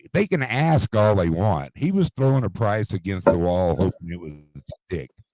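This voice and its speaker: In a dry, close sound with no echo, a man with a fairly low pitch and a dark, mellow tone speaks at a moderate pace, his pitch swinging very widely. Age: 60s. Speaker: retired car dealer, livestream host. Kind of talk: casual chat.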